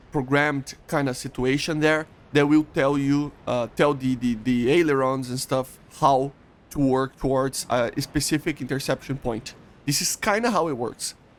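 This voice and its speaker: With a Portuguese accent, a man speaks at a moderate pace in a fairly high voice with ordinary pitch variation. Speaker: gaming YouTuber. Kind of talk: explainer tutorial. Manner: halting, many fillers and restarts.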